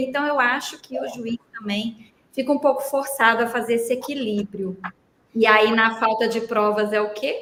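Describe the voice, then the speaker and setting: The tone is animated, with ordinary pitch variation, in a Minas Gerais accent. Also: woman. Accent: mineiro Brazilian Portuguese. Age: 40s. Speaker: labor lawyer. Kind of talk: podcast interview.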